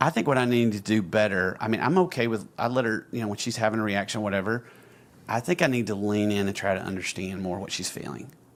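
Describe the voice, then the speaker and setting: A man with an Alabama accent talks at a very fast pace. His pitch is fairly low, with ordinary variation. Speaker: podcast co-host. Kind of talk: casual chat.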